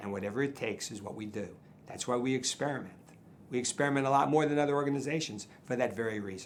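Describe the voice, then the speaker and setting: A man of medium pitch talks very fast with ordinary pitch variation. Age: 70s. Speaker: charity donor. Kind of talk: interview. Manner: repetitive, halting.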